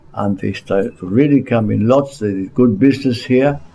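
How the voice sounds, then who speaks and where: A man's medium-pitched voice with a dark, mellow tone, lively intonation and a moderate pace. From Gibraltar. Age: 70s. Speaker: local historian. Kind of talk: interview. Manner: halting.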